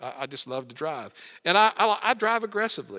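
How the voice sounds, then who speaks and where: The voice has a bright, sharp tone, a fairly quick pace and lively intonation, in a very clean recording with a silent background. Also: man. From West Virginia. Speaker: retired pastor, guest preacher. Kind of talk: sermon. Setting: church.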